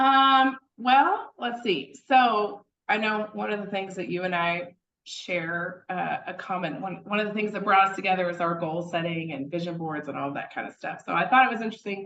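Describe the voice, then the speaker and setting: With an American accent and a medium pitch, a woman talks at a moderate pace with lively intonation in a normal speaking voice. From East Texas. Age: 30s. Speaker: real estate investor. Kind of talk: casual chat.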